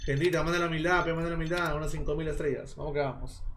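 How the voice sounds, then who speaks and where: A man rattles off his words very fast while noticeable noise fills the background. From Peru, Lima (Chorrillos). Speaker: live streamer. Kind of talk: casual live stream chat with betting commentary. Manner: animated.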